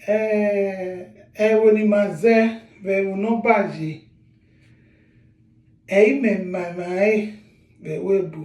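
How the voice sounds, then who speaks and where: A man with a Nigerian accent and high pitch, fairly even intonation, a very slow pace with long, frequent pauses, and audible room echo. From Nigeria, Edo State. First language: Edo. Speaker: author and language teacher. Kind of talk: language lesson; sales pitch.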